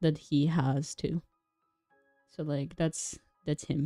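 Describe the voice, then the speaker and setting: The speaker has a non-native accent and a moderate pace. Music plays in the background, and the sound is dry and close with no echo. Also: woman. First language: not English. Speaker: vtuber streamer. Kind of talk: casual livestream chat. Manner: halting.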